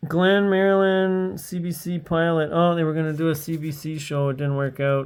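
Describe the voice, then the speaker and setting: The speaker has a slight French-Canadian accent and talks at a moderate pace with hardly any pauses. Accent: slight French-Canadian tinge. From Eastern Ontario, Canada (Hawkesbury). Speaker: streamer. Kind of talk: casual livestream commentary. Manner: rambling, hesitant.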